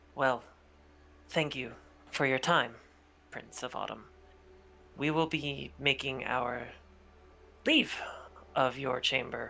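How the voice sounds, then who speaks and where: A put-on character voice at a low-to-middle pitch, fairly slow in pace, with long, frequent pauses. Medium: actual play. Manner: formal, courteous.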